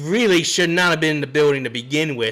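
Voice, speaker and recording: This man talks in an animated tone at a fairly high pitch. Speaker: sports podcast host. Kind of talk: live sports talk stream.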